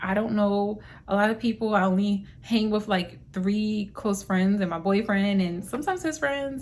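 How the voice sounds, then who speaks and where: In a plain, everyday voice, a woman talks at medium pitch and a moderate pace with ordinary pitch variation. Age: 20s. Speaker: lifestyle vlogger. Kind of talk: casual vlog monologue. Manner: conversational.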